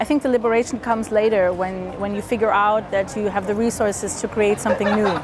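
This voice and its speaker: A woman with an American accent at a medium pitch and fairly quick pace, her intonation fairly even, over noticeable background noise. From Williamsburg, Brooklyn, USA. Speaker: author. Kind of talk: interview answer.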